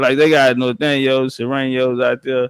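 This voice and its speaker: A man's medium-pitched voice at a moderate pace, dry and close with no echo. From Texas. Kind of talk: casual chat.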